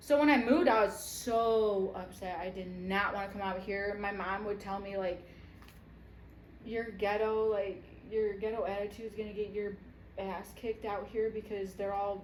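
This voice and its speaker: Against noticeable background noise and audible room echo, a woman with an American accent speaks at a moderate pace, with medium pitch and fairly even intonation. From Michigan, Detroit area. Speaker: podcast co-host. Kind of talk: casual chat.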